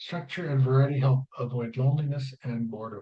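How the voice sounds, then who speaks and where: A man with a medium pitch speaks at a moderate pace and with fairly even intonation. His tone is dark and mellow, and somewhat breathy. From Canada. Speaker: travel vlogger. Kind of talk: casual vlog commentary reading from notes. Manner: mumbling.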